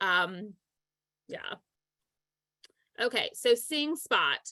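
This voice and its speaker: A woman speaks with a bright, sharp tone and ordinary pitch variation. The background is quiet, and the sound is dry with no echo. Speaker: volunteer software trainer. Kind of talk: tutorial. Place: home room. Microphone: video call.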